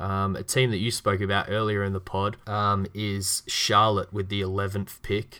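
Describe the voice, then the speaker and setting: A man with an Australian accent, fairly low pitch and a bright, sharp tone, monotone and flat, at a moderate pace with hardly any pauses, on a very clean recording with a silent background. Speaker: podcast host. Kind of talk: casual chat.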